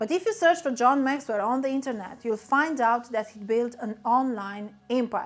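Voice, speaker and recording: A woman with a Romanian accent speaks at a high pitch and a moderate pace. Her pitch variation is ordinary, while her loudness swings widely. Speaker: business coach. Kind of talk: motivational talk.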